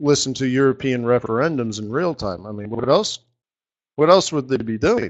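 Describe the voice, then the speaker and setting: Speaking at a moderate pace, a man with an American accent uses a medium pitch. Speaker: forex market strategist. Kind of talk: live trading webinar chat. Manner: relaxed; hesitant with fillers.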